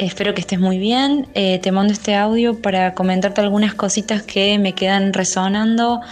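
Over noticeable background noise, a woman with a Córdoba Argentine accent speaks at a medium pitch with fairly even intonation. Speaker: caller. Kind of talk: voice message. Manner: halting, many fillers.

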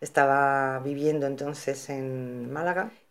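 A woman talks in a monotone with flat intonation and a very deep, low pitch. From Equatorial Guinea (Spanish colony), moved to Spain at 15. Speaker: psychologist. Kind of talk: interview.

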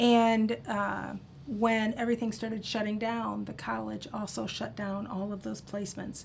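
Audible room echo follows a woman's moderately paced speech. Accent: Midwestern American. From US Midwest, Iowa (Cedar Rapids). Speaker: social work professor. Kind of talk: casual interview. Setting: studio.

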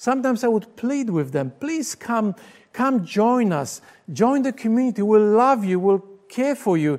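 Someone with a Polish accent speaks at a moderate pace. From Poland. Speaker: pastor. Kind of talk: sermon. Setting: recorded for video broadcast.

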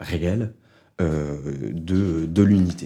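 Recorded very cleanly against a silent background, a man's very deep, low voice carries a dark, mellow tone and ordinary pitch variation. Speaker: sociologist researcher. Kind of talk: research interview. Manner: hesitant with fillers.

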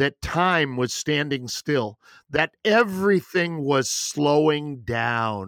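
A man speaking at a very slow pace. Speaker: podcast host. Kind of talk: interview, casual chat.

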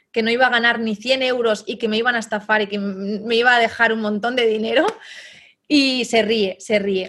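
A woman speaks at a moderate pace in a fairly high pitch. Her intonation stays fairly even, and she has an unremarkable speaking voice. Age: 30s. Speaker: online entrepreneur, team leader. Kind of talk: interview.

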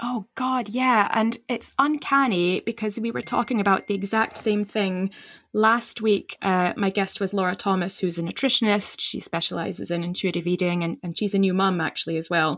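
Recorded very cleanly against a silent background, a woman with an ordinary speaking voice speaks at a medium pitch and a moderate pace, with ordinary pitch variation and hardly any pauses. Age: 40s. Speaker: midwife and podcast host. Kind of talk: casual chat.

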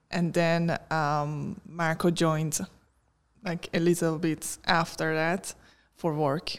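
A woman with a Persian accent speaks very slowly in a fairly low, monotone, flat voice, in a very clean recording with a silent background. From Iran. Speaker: tech worker and podcaster. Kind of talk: interview.

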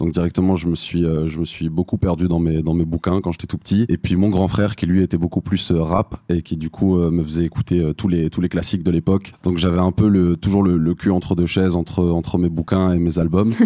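A dark, mellow voice, monotone and flat, at a fairly quick pace with very even loudness and a dry, close sound with no echo. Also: man, very deep, low pitch for a man. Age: 20s. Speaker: rapper. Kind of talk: interview. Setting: live audience.

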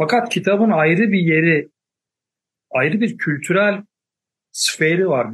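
A man with a high pitch talks at a very slow pace, leaving long, frequent pauses. His pitch variation is ordinary. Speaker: professor. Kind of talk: panel discussion.

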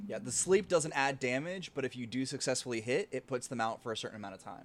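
At a very fast pace, a man with a medium pitch talks using lively intonation. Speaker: game master running the tabletop game. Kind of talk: tabletop roleplaying actual play, casual. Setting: online stream.

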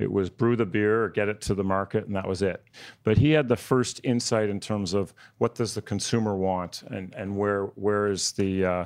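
A man with a plain, everyday voice speaks at a moderate pace with fairly even intonation on a very clean recording with a silent background. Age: 40s. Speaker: family business CEO. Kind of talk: panel discussion.

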